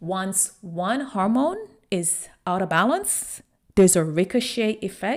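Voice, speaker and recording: At a fairly slow pace, a woman talks with a medium pitch and ordinary pitch variation. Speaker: online personal trainer and wellness coach. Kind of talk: podcast monologue. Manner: casual, conversational.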